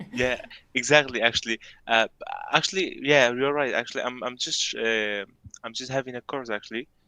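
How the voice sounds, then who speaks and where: A man with medium pitch and a bright, sharp tone talks at a fairly quick pace with fairly even intonation. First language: not English. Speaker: university student. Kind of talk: casual video chat with a stranger. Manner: halting.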